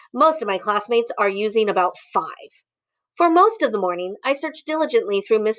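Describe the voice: Plain reading aloud over a quiet background.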